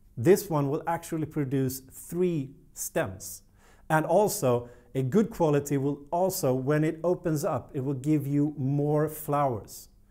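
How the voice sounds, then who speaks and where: Over a quiet background, a man with a Swedish accent speaks at a fairly slow pace with ordinary pitch variation. His tone is dark and mellow at a fairly high pitch. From Sweden. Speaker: plant care youtuber. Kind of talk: tutorial. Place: studio. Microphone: lapel.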